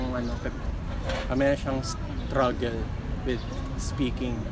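Against loud background noise, a man talks at a very slow pace with a dry sound and no echo. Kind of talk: interview answer. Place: street.

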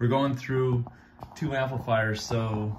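A man with fairly even intonation, with audible room echo

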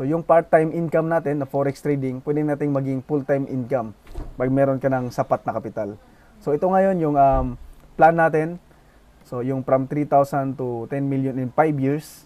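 A man with a fairly high pitch speaks at a moderate pace. His tone is dark and mellow, and his intonation stays fairly even. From Philippines, Bohol. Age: 20s. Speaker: forex trading youtuber. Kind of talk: tutorial.

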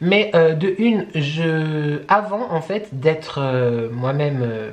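The speaker is a man. His intonation is lively. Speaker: lifestyle vlogger. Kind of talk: casual vlog chat. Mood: earnest with laughs. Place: home room.

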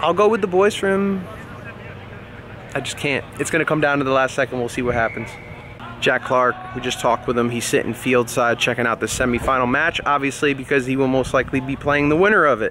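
A man at a fairly quick pace, with light background noise and a dry sound with no echo. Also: ordinary pitch variation. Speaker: rugby vlogger. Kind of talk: casual vlog chat. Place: stadium. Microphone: phone near.

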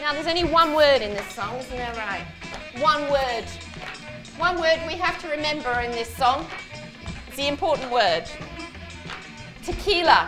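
Over clear music in the background, the voice moves at a moderate pace with long, frequent pauses. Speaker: dance teacher. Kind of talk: exercise class instruction. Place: studio.

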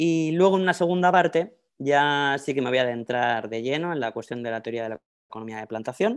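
Against a quiet background, a man with a Spanish accent speaks at a fairly quick pace in a fairly high voice. His intonation is lively, and his loudness swings widely. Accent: Spanish (Spain). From Spain, Madrid. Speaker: professor. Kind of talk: lecture. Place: home room. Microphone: earbuds.

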